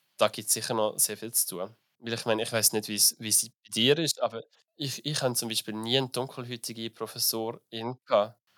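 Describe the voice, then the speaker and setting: With a normal speaking voice, a man at medium pitch talks at a fairly quick pace with fairly even intonation, recorded very cleanly against a silent background in a dry, close sound with no echo. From Switzerland, small village. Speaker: business graduate and drag performer. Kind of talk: interview. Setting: festival.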